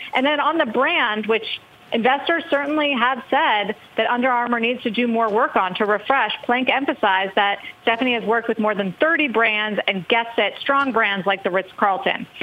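The voice holds a very even loudness and a moderate pace with ordinary pitch variation, against noticeable background noise. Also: woman. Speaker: business news anchor. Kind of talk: news report.

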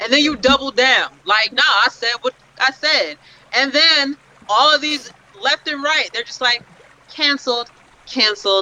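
A woman speaks in a raised, projected voice with an animated tone, high in pitch and ordinary in pitch variation. Her pace is fairly slow, broken by long, frequent pauses. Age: 30s. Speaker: podcast guest. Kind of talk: casual chat.

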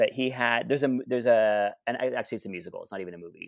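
Recorded very cleanly against a silent background, a man has a plain, everyday voice of medium pitch with lively intonation. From Canada, Ottawa (Alta Vista). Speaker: drag performer and podcast co-host. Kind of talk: casual chat.

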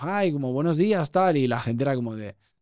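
In a very clean recording with a silent background, a man at medium pitch speaks at a moderate pace with lively intonation and an unremarkable speaking voice. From Spain, Barcelona. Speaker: podcast host. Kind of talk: casual interview chat. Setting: studio.

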